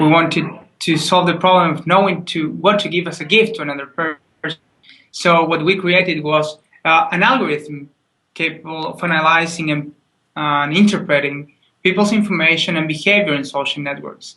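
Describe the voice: Audible room echo surrounds a man speaking at a moderate pace with fairly even intonation, a bright, sharp tone and fairly high pitch.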